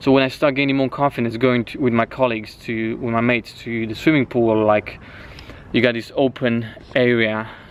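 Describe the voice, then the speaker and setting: A man's medium-pitched voice with a Romanian accent, monotone and flat at a moderate pace, amid noticeable background noise. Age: 20s. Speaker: fitness coach. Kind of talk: personal life story. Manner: casual, with frequent restarts and fillers.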